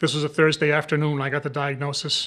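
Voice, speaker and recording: Very fast, monotone speech from a man with a fairly high pitch and an American accent, against a quiet background. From Rhode Island, US. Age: 60s. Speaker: cancer survivor, retired store manager. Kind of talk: personal testimony. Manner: halting, with frequent fillers.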